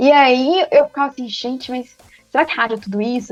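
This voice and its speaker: A woman speaks in a high voice at a fairly quick pace. Her pitch varies in an ordinary way, with music playing behind her. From Minas Gerais, Brazil. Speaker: football commentator. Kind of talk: interview. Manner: fast; animated.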